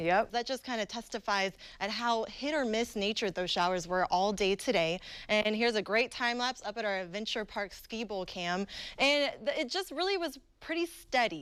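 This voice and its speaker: With an American accent, a woman has a plain, everyday voice, fairly high in pitch, with lively intonation at a moderate pace. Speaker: TV meteorologist. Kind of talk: TV weather forecast.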